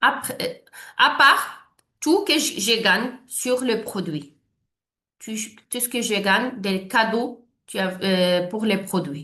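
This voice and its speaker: With a non-native accent, a woman speaks at a very slow pace in a fairly high, bright, sharp voice with lively intonation, long, frequent pauses, and audible room echo. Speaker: network marketing leader. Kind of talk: sales presentation. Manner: halting, many hesitations and false starts.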